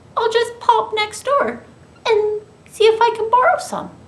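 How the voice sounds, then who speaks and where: An extremely high, squeaky, put-on character voice at a moderate pace. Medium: read story. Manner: polite, proper.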